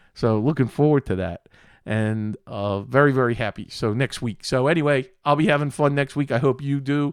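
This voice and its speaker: Recorded dry and close with no echo, a man with an American accent talks at medium pitch and a moderate pace with fairly even intonation. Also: very clean recording, silent background. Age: 60s. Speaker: tech show host. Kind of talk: live tech show tutorial.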